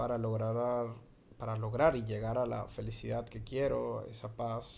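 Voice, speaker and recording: In a room with audible echo, a man speaks at a medium pitch with a dark, mellow tone. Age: 20s. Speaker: podcast host. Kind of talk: improvised solo monologue. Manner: halting.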